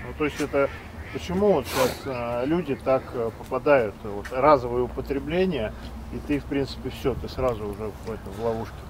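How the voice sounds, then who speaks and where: Intonation is lively as a man speaks at medium pitch and a moderate pace. The sound is dry with no echo, though background noise is noticeable. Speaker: host of drug rehabilitation social project. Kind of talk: interview questions. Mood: serious, earnest. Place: waterside. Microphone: lapel.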